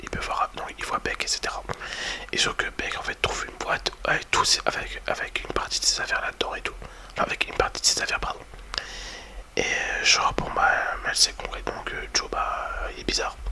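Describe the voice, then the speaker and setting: Noticeable background noise sits behind a man who whispers at a moderate pace. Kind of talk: ASMR whispered review talking to the viewer. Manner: whispered, soft-spoken, casual and hesitant.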